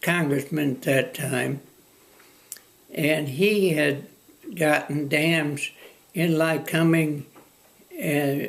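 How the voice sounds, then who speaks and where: At a very slow pace, a man speaks with a fairly high pitch, ordinary pitch variation and very even loudness. He leaves long, frequent pauses. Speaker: former newspaper publisher and land use administrator. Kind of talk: oral history interview answer. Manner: hesitant, halting.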